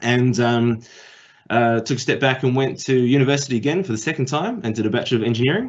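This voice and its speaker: A man talks very fast with a New Zealand accent. His pitch is medium, with ordinary variation. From New Zealand, Auckland. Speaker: tech industry speaker. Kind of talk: career talk. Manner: hesitant, many fillers.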